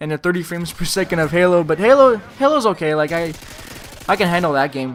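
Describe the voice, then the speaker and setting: At a fairly quick pace, a man speaks with a French Canadian accent. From Quebec, Montreal. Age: 20s. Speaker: gaming commentator. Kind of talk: gameplay commentary Q&A. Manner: casual, filler-heavy.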